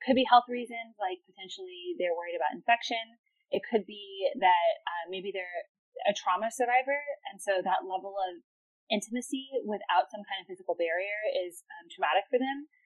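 With an ordinary speaking voice, a woman of medium pitch talks at a moderate pace, her intonation lively and her loudness swinging widely. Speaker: venture capitalist. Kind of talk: interview about sex tech and investing.

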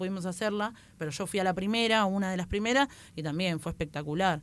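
A woman speaks at a fairly quick pace in a plain, everyday voice, with medium pitch and ordinary pitch variation. The recording is very clean, with a silent background. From Buenos Aires western suburbs, Argentina. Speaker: stand-up comedian. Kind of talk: casual chat.

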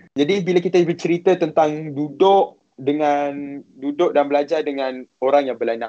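At a fairly slow pace, a man uses an ordinary speaking voice with a fairly high pitch and ordinary pitch variation. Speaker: university student studying abroad. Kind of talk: live-stream interview, sharing experience.

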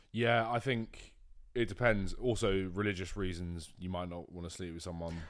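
A man's very deep, low voice in a British accent, relaxed in tone, moderate in pace and marked by big swings in loudness. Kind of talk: casual chat. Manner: relaxed, monotone.

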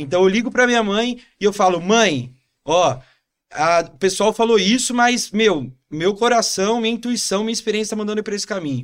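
A man with a São Paulo accent speaks at a moderate pace and high pitch, using ordinary pitch variation. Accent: Paulistano Brazilian Portuguese. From São Paulo, Brazil. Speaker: entrepreneur. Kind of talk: casual interview.

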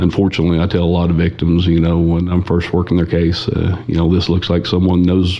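A man with an Oklahoma accent, very deep and low in pitch, flat and monotone over noticeable background noise. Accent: Oklahoma rural US. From Oklahoma, Osage County. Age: 40s. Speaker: cattle theft investigator. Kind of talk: casual interview.

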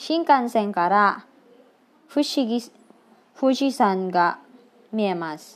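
The woman's voice sits at a fairly high pitch with very wide pitch swings. She talks at a very slow pace. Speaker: Japanese language learner sharing study notes. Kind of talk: tutorial. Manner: halting.

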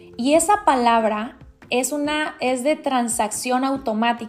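A woman speaks with a high pitch and ordinary pitch variation at a fairly slow pace. Noticeable background noise is present. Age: 40s. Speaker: life coach and podcast host. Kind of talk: motivational monologue. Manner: halting.

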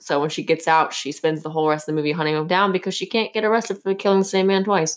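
At a very fast pace with hardly any pauses, a woman speaks at a fairly low pitch with ordinary pitch variation. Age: 20s. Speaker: podcast co-host. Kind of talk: casual chat.

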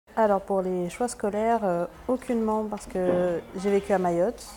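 Amid noticeable background noise, a woman speaks at a fairly slow pace with fairly even intonation. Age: 20s. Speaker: laboratory technician, feminist. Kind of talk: interview testimony. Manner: hesitant, many fillers and repetitions.

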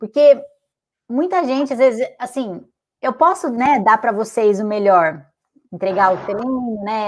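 A woman's voice with ordinary pitch variation. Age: 20s. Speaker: fitness and weight-loss coach, podcast host. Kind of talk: live-streamed interview.

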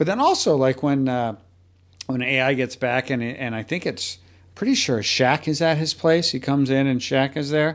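Pitch varies in an ordinary way, at a moderate speed. It is an ordinary speaking voice. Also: man, medium pitch for a man. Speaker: podcast host. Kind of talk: podcast interview with sponsor reads.

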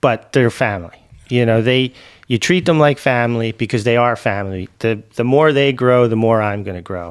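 Recorded very cleanly with a silent background, a man with a normal speaking voice and medium pitch talks at a moderate pace and ordinary pitch variation. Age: 40s. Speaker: mayor and business executive. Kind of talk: interview conversation.

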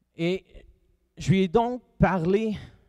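In a Quebec accent, a man speaks with lively intonation and a dark, mellow tone, the sound dry and close with no echo. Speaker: pastor. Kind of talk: sermon.

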